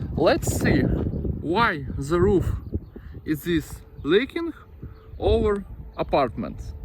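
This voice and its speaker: A man with a non-native accent, very even loudness, long and frequent pauses, and noticeable background noise. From Ukraine. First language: Ukrainian or Russian. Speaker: roofing company founder. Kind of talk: tutorial. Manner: halting.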